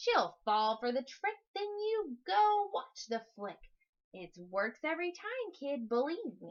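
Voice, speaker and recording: Using a put-on character voice, a woman speaks at a fairly slow pace with a high pitch. Her pitch swings very widely, and her loudness rises and falls in big swings. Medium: read story. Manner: slangy, slick.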